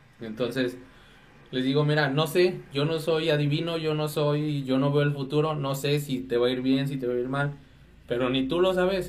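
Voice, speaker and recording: Amid audible room echo, a man speaks at a moderate pace and a fairly high pitch with fairly even intonation. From Mexico, Dolores (Guanajuato). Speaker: photographer. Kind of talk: casual chat. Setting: studio.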